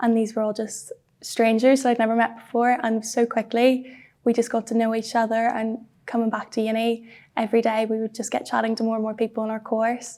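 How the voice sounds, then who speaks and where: A fairly quick, monotone, flat delivery from a woman with a Northern Irish accent, in a fairly high pitch and a dark, mellow tone. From Belfast, Northern Ireland. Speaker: university student. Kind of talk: interview answer.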